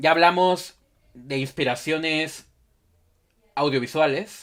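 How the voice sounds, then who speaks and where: A man speaks in a Mexico City accent, keeping a moderate pace and fairly even intonation. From Mexico City, Xochimilco. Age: 20s. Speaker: podcast host. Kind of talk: interview.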